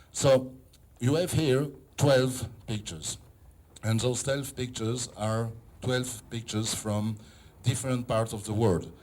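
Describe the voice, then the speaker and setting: A man's medium-pitched, fairly slow speech with ordinary pitch variation and long, frequent pauses. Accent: non-native. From Israel. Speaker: photographer and philosopher. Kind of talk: exhibition opening speech. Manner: halting.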